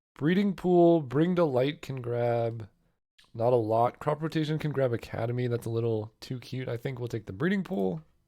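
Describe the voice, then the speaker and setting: A dark, mellow tone with lively intonation at a moderate pace, against a quiet background. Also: man, medium pitch for a man. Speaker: card game content creator. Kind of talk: gameplay commentary. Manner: casual.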